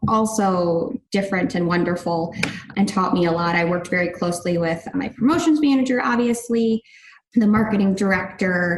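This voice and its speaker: Speaking with a Chicago accent, a woman uses a medium pitch with ordinary pitch variation. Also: moderate pace. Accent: US Midwest (Chicago area). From northern Illinois suburbs. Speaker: sports team director. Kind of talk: casual interview. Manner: animated.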